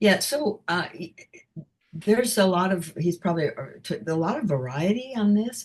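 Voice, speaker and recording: Speaking at a fairly slow pace, a woman uses lively intonation in a somewhat breathy voice. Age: 70s. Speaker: singer. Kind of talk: interview.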